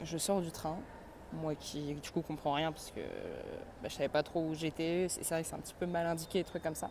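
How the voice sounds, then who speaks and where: A woman talks at a fairly quick pace and fairly low pitch, with long, frequent pauses. Her intonation is monotone and flat. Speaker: travel vlogger. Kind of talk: casual vlog. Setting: outdoors walking. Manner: casual, hesitant with fillers.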